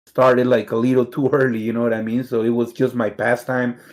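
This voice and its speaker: The speaker has a Mexican accent and a moderate pace. The intonation is monotone and flat. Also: man. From Mexicali, Mexico; moved to Pico Rivera, California at 13. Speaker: fighting game player. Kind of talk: casual interview chat.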